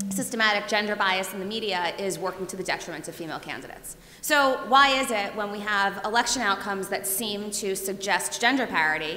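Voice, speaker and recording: A woman talks at a very fast pace with medium pitch and ordinary pitch variation. Noticeable background noise and audible room echo fill the recording. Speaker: professor. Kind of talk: lecture. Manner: loud.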